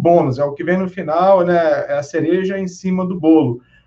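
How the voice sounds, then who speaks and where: A man with a Rio de Janeiro accent speaks at a high pitch. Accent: Carioca Brazilian Portuguese. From Brazil, Rio de Janeiro. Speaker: database consultant and conference speaker. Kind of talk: technical conference talk. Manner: hesitant with fillers.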